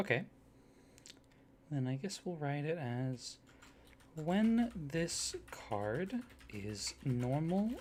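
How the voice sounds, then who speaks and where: Using very wide pitch swings, a man speaks at a very slow pace in a somewhat breathy voice. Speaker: ASMR roleplay performer, card shop or company clerk character. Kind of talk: collaborative card design talk, roleplay. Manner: enthusiastic, upbeat.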